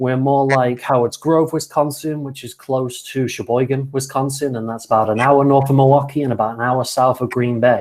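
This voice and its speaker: A medium-pitched man with a British accent, monotone and flat, at a moderate pace with hardly any pauses, on a very clean recording with a silent background. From Britain. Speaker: college soccer coach. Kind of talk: casual video chat.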